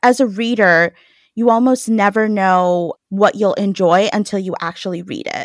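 In a plain, everyday voice, a woman with an American accent talks at a moderate pace and medium pitch with ordinary pitch variation, recorded very cleanly with a silent background and a dry, close sound with no echo. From New York. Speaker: podcast co-host. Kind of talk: interview.

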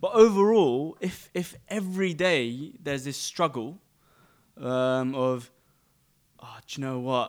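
In a London accent, a man with a fairly high voice speaks very slowly, his intonation lively and his loudness swinging widely, with long, frequent pauses on a very clean recording against a silent background. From London, England. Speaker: podcast guest. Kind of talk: casual chat.

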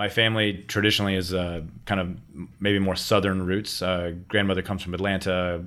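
A man with an American accent talks at a fairly quick pace in a very deep, low voice. His intonation is monotone and flat, with audible room echo. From Miami, Florida. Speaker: rum brand founder. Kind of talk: casual interview. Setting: hotel room used as remote studio.

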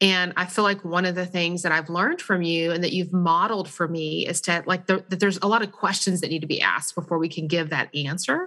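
A very fast woman's voice in an American accent, fairly low-pitched and bright and sharp in tone, with fairly even intonation, hardly any pauses and a quiet background. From Texas. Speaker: parenting organization staff. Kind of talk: interview.

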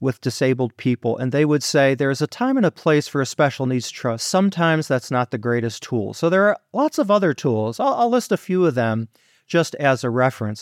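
Here is an ordinary speaking voice from a man with a fairly high pitch and lively intonation at a fairly quick pace. The sound is dry and close with no echo, on a very clean recording with a silent background. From Detroit, Michigan. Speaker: financial planner. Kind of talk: interview.

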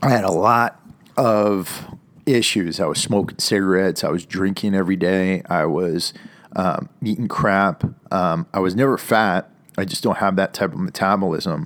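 This man, with an American accent and a plain, everyday voice, talks at a moderate pace in a fairly low pitch. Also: ordinary pitch variation. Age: 40s. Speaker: podcast host, military veteran. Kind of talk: motivational solo talk. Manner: casual, many filler words.

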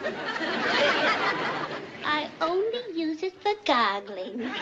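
A woman's put-on character voice, extremely high with very wide pitch swings, delivered very slowly over loud background noise. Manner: cackling, playful.

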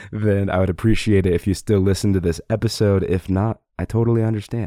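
A man talks with a dark, mellow tone and fairly even intonation. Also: fairly low pitch for a man, fairly quick pace.

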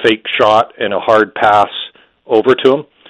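The man's pitch is fairly low and his intonation fairly even. He speaks at a moderate pace. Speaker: hockey journalist. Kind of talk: casual sports analysis chat.

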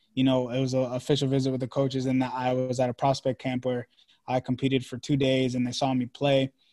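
A man with an American accent at a very fast pace, dark and mellow in tone, monotone and flat, in a dry, close sound with no echo. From Maryland, US. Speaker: podcaster and former college baseball player. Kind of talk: interview.

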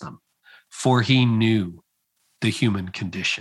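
Here a man with a Canadian accent talks at a medium pitch with ordinary pitch variation. It's a plain, everyday voice, on a very clean recording with a silent background. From Ontario, Canada. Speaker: leadership author and podcaster, former pastor. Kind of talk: interview conversation.

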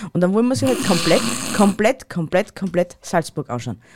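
A woman with an Austrian accent speaks at a medium pitch, her voice making very wide pitch swings. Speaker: podcast co-host. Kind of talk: casual chat.

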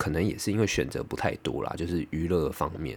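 Speaking at a moderate pace, a man uses a very deep, low pitch with vocal fry on a very clean recording with a silent background. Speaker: podcaster. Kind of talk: casual monologue.

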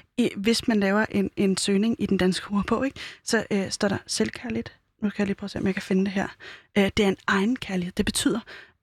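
Somewhat breathy and at a medium pitch, a woman talks at a fairly quick pace with fairly even intonation in a very clean recording with a silent background. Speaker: radio host. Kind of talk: casual interview. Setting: studio.

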